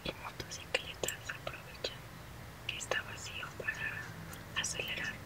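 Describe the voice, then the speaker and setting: A woman whispering at a very slow pace. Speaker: visual artist. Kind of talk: ASMR drawing tutorial. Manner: soft-spoken. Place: home room.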